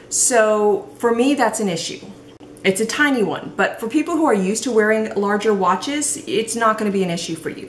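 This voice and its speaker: A woman's lively intonation against noticeable background noise. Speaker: product reviewer. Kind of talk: product review. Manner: casual, hesitant with fillers; slurs words.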